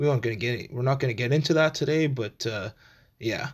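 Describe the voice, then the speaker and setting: His voice sits at a medium pitch, and it rises and falls with ordinary variation. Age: 20s. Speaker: podcast host. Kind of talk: solo podcast monologue. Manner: casual, rambling.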